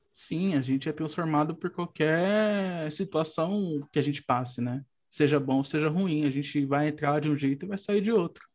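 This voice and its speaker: Hardly pausing, a man talks at a moderate pace in a plain, everyday voice. His pitch is fairly high, with ordinary pitch variation. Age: 30s. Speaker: podcast host, psychologist. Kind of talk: casual chat.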